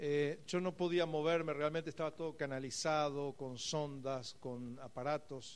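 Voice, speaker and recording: A man with a normal speaking voice, fairly high in pitch, at a fairly slow pace with ordinary pitch variation. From Argentina, Buenos Aires area. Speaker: pastor. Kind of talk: sermon.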